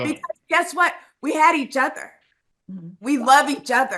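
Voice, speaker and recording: Raising and projecting her high voice, a woman speaks at a fairly slow pace with a bright, sharp tone. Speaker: reality TV contestant, younger sister. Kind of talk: exit interview answer.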